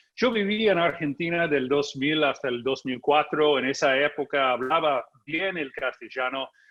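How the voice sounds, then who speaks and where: A man speaks with hardly any pauses at a fairly high pitch, with ordinary pitch variation. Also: fairly slow pace. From United States. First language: English (speaking Spanish). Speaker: journalist and political analyst. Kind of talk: conference talk.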